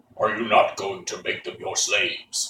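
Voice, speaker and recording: Putting on a character voice, a man talks at an extremely high pitch and a moderate pace. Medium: read story.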